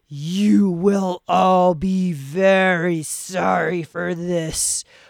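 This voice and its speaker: This is a put-on character voice. The pitch sits in the middle range. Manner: mean, stern, threatening.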